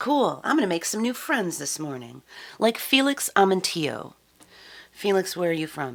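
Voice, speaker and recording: Upbeat in tone, a woman speaks at a fairly low pitch with very wide pitch swings. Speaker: live-stream musician. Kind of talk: live-stream chat. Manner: chatty, upbeat.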